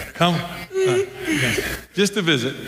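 This man talks rather unhurriedly, with clear background noise audible. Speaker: pastor. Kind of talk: sermon. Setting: church. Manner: halting, with many filler words.

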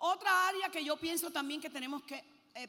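A woman talks in an animated tone with lively intonation. Her voice is raised and projected. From Puerto Rico. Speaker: preacher. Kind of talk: sermon. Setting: stage with audience.

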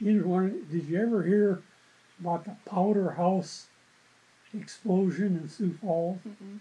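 A man with an American accent talks very slowly, leaving long, frequent pauses. His voice is high-pitched with a dark, mellow tone and fairly even intonation. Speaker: retired newspaper journalist. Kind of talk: oral history interview.

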